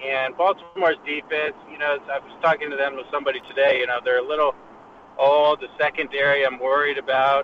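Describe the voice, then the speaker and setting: Over noticeable background noise, a man with a fairly high voice talks at a fairly quick pace. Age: 30s. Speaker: fantasy football panelist. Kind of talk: casual chat. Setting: phone call while driving in car. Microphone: phone line.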